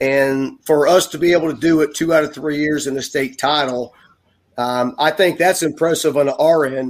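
With an American accent, a man in an ordinary speaking voice talks at a moderate pace and a fairly high pitch, his intonation fairly even. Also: very clean recording, silent background. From Ohio, US Midwest. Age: 50s. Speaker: high school football coach. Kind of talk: interview.

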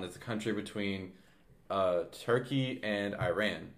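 Speaking in a plain, everyday voice, a man keeps a fairly low pitch, fairly even intonation and a moderate pace. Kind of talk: casual chat.

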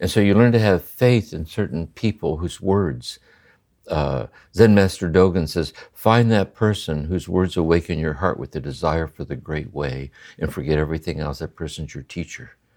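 A man with a very deep, low pitch and vocal fry talks at a moderate pace with lively intonation. The recording is very clean with a silent background. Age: 80s. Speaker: contemplative teacher. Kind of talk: reflective interview conversation. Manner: thoughtful, halting, self-repeating.

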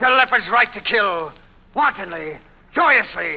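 Putting on a character voice, a man speaks at a high pitch with lively intonation, vocal fry and a slightly husky edge. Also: fairly slow pace.

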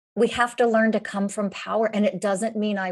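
A somewhat breathy woman speaks with an American accent. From Pennsylvania, US. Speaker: spiritual teacher and coach. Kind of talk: casual interview. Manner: animated.

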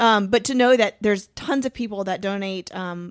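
In a Southern US accent, a woman speaks at a medium pitch with ordinary pitch variation, recorded very cleanly against a silent background with a dry, close sound and no echo. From Georgia, US South. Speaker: mountain bike instructor. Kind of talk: casual chat.

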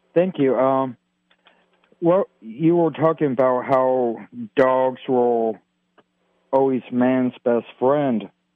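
A very slow pace with long, frequent pauses, very even loudness and ordinary pitch variation. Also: man, medium pitch for a man. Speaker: caller. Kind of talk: call-in chat. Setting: phone call.

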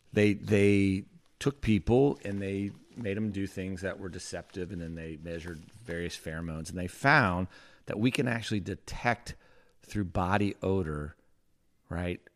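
In a Southern US accent, a man with a very deep, low pitch speaks with ordinary pitch variation on a very clean recording with a silent background. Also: moderate pace. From North Carolina. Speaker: podcast co-host. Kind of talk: casual chat.

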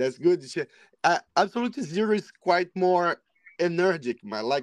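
At a moderate pace, a man with a Portuguese accent speaks in a high pitch with lively intonation. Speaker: death metal band member. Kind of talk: casual interview.

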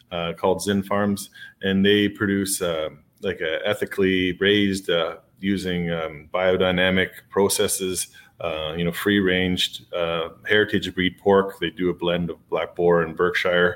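Speaking at a fairly slow pace in a Canadian accent, the man has a very deep, low voice and a monotone, flat intonation. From Canada. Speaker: pizza restaurant owner. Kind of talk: interview. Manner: halting, many fillers.

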